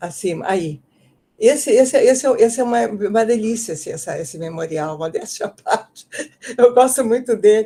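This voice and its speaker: In a somewhat breathy, dark, mellow tone, a fairly high-pitched woman speaks with lively intonation and big swings in loudness. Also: moderate pace. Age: 80s+. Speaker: author and education professor. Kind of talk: book presentation in an online talk. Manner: halting, with many repetitions and fillers.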